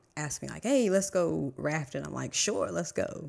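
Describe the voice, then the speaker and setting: A woman with vocal fry talks at a fairly quick pace in a very deep, low pitch, in a very clean recording with a silent background. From Virginia, small country town. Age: 40s. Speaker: astrology reader. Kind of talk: casual chat.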